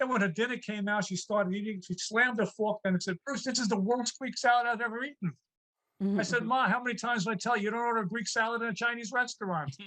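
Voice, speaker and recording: An American-accented man speaks very fast in a raised, projected voice. His pitch is high, with ordinary variation. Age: 60s. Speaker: comedian. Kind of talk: stand-up. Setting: video call.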